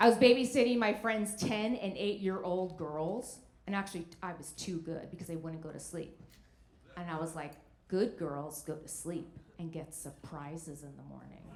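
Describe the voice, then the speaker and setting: Speaking at a moderate pace with an American accent, a woman uses a plain, everyday voice, fairly low in pitch with ordinary variation. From New Jersey. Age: 50s. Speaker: stand-up comedian. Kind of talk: stand-up comedy set.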